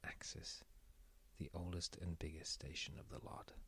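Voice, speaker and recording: A whisper at a moderate pace. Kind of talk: audiobook-style reading of a sci-fi novel, ASMR. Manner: soft-spoken, whispered; soft-spoken.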